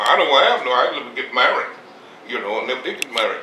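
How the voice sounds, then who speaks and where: There is noticeable background noise behind this speaker with an American accent. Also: man. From Mississippi, Southern US. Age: 80s+. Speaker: farmer, war veteran. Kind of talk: interview answer. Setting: at home.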